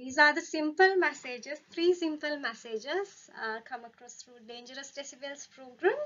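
Her high-pitched voice moves at a moderate pace with ordinary pitch variation and hardly any pauses. This woman's loudness swings widely. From Sri Lanka. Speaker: audiology lecturer and PhD candidate; audiology lecturer, candidate. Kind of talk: webinar lecture. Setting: video call. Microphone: video call.

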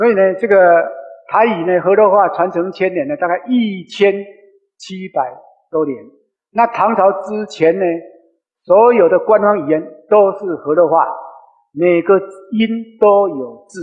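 Against a quiet background, a man with a high pitch and ordinary pitch variation speaks at a fairly slow pace with long, frequent pauses. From Tainan, Taiwan; Taiwan. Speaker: lecturer. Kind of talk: lecture. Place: hall. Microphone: headset.

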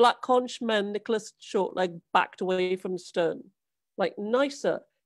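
Quiet surroundings and ordinary pitch variation in a natural reading voice

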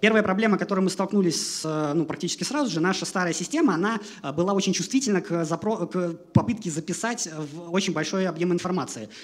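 At a very fast pace, a man talks in a high pitch with ordinary pitch variation. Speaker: software developer, conference speaker; conference speaker. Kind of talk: conference talk. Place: hall. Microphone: headset.

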